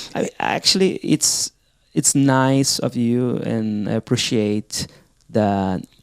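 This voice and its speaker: In a non-native accent, a man speaks at a very slow pace and medium pitch, the sound dry and close with no echo. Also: ordinary pitch variation. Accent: foreign. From outside the US. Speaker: podcast co-host. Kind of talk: casual chat.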